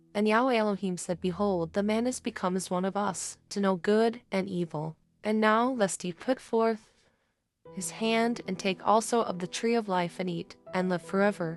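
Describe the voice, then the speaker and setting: An unremarkable speaking voice, this woman's sits at a medium pitch with fairly even intonation. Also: quiet background. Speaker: audio Bible reader. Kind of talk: scripture reading.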